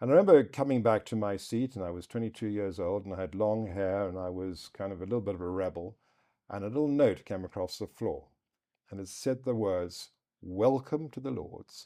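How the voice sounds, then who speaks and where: A man's fairly low-pitched voice with a dark, mellow tone, ordinary pitch variation and a fairly quick pace, against a quiet background. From southern Africa. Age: 60s. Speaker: politician. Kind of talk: interview. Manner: occasional stutter.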